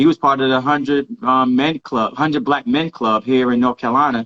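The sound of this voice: A man at a medium pitch, with a fairly bright tone and a fairly quick pace, in a dry, close sound with no echo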